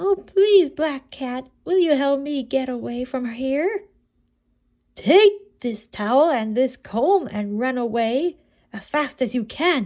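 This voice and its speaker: Here a woman uses a put-on character voice with a high pitch. She speaks at a fairly slow pace. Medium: read story.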